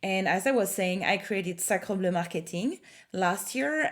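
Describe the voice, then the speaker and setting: Against a silent background in a very clean recording, a woman with a slight French accent speaks fairly slowly at a medium pitch. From France. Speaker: marketing consultant. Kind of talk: tutorial. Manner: hesitant, many fillers.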